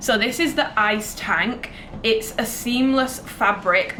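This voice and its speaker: A woman with a British accent speaks in a fairly even intonation over noticeable background noise. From Britain. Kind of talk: casual talk to camera. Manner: chatty.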